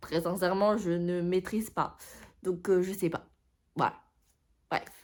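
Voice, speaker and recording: On a very clean recording with a silent background, a woman speaks at a medium pitch in a monotone, flat intonation, very slowly and with long, frequent pauses. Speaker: booktuber. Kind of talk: casual vlog chat. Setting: at home. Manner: hesitant, many fillers.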